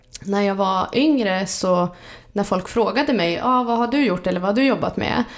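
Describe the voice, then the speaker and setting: A woman at medium pitch and moderate pace, with ordinary pitch variation, very even loudness and noticeable background noise. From Sweden, Jämtland (Vemdalen). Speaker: entrepreneur. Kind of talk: casual interview. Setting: kitchen at home, near a road.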